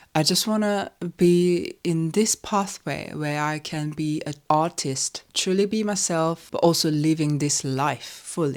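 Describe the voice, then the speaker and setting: A woman speaks at a fairly slow pace with a Korean accent. Her voice is very deep and low, with ordinary pitch variation. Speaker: composer and vlogger. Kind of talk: casual chat.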